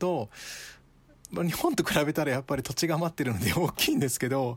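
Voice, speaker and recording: A man talks at a moderate pace in a normal speaking voice. His pitch varies in an ordinary way. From Japan. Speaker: guest with Ghanaian roots. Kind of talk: casual chat. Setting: remote call from home.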